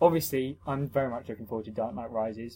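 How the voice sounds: This man talks at a fast pace in a medium pitch. His tone is dark and mellow, with a slightly husky edge.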